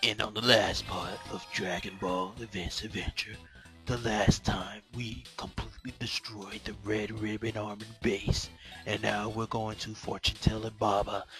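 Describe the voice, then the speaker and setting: A man speaks at a moderate pace in a dramatic, put-on character voice with fairly low pitch, and clear music plays behind him. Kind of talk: announcer. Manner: dramatic, hyped.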